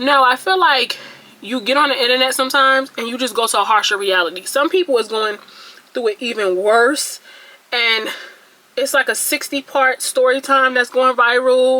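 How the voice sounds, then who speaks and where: The speaker talks at a fairly quick pace. Noticeable background noise runs underneath. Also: woman. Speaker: beauty vlogger. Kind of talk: casual vlog monologue. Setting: talking to camera at home. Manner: stuttering; chatty, rambling delivery.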